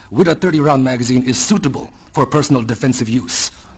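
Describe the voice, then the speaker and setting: A man speaks at a medium pitch with ordinary pitch variation. Noticeable background noise runs underneath. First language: not English. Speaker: public hearing speaker. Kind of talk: testimony. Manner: formal.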